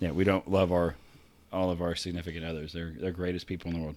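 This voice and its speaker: A man puts on a character voice, raspy and very deep in pitch. He delivers it fairly quickly in a monotone, flat intonation. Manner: very fast.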